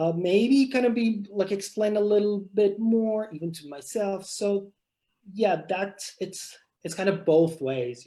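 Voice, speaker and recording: A man's high-pitched voice, dark and mellow in tone, with big swings in loudness. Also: ordinary pitch variation, fairly slow pace. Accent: Persian. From Iran. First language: Persian. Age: young. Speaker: novelist. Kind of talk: author interview. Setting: video call. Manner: halting.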